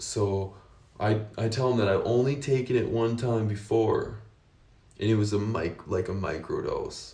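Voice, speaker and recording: A man's dark, mellow, somewhat breathy voice with an American accent, fairly even intonation, a fairly slow pace and audible room echo. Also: medium pitch for a man. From United States. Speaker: vlogger sharing personal experience. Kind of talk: personal testimony, casual unscripted monologue. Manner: casual with frequent fillers and restarts.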